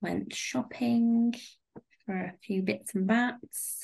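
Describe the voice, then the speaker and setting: Against a quiet background, a woman with a British accent speaks at a fairly high pitch in a somewhat breathy voice. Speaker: podcast host. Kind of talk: casual chat.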